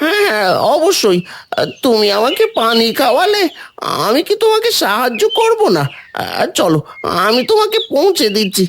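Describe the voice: A cartoonish character voice, high in pitch, with very wide pitch swings. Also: moderate pace.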